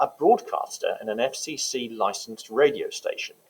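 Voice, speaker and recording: The speaker is a man with a London accent. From England, London. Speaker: teacher. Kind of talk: informational talk. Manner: hesitant, many fillers.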